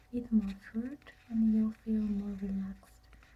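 A soft-spoken woman whispers at a very slow pace. There is light background noise. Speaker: ASMR creator. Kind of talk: ASMR relaxation reading. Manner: soft-spoken, whispered. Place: home room. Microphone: phone near.

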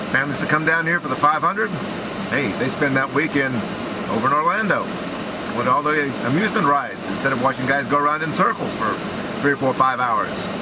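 A man talks at a fairly quick pace. Loud noise runs in the background. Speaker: sports commentator. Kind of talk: commentary. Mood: indignant, critical. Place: car. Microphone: phone near.

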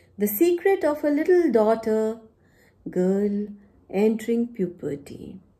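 Somewhat breathy and dark, mellow in tone, a woman with an Indian accent talks at a fairly slow pace with very wide pitch swings. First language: Punjabi. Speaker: poet and university teacher. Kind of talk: poetry reading with introductory talk. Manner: formal. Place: home room. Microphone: phone near.

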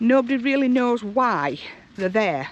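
A woman speaks at a fairly slow pace with lively intonation, her voice dry with no echo over light background noise. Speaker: travel vlogger. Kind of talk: casual vlog chat. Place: open country. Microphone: headset.

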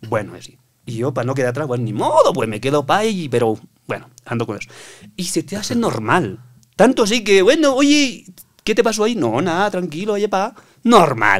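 Very wide pitch swings and big swings in loudness from a high-pitched man at a moderate pace. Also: quiet background. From Bolivia, Oruro; Bolivia. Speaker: construction worker; podcast guest. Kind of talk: casual chat. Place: studio. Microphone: studio mic.

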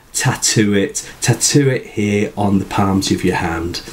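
A man with a British accent speaks at a fairly slow pace. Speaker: writing tutor. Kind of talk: tutorial talk to camera. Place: home room.

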